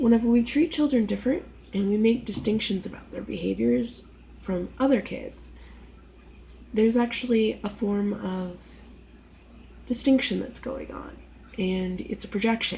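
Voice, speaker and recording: A woman with an American accent speaks at a moderate pace, leaving long, frequent pauses. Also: big swings in loudness. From US East Coast. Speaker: vlogger. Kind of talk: casual monologue. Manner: rambling, hesitant.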